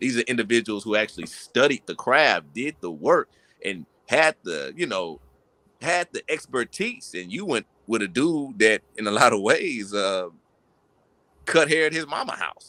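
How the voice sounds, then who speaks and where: A man's medium-pitched voice with vocal fry, bright and sharp, swinging very widely in pitch at a moderate pace, dry and close with no echo. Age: 20s. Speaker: podcast host. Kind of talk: casual chat. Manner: animated.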